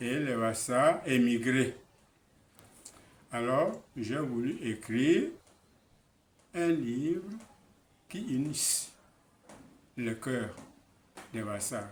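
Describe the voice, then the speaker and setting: A man with a Cameroonian accent at a medium pitch, ordinary pitch variation, very slow pace and long, frequent pauses, with audible room echo. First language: Basaa (speaking French). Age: 80s+. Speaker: author. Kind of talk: interview.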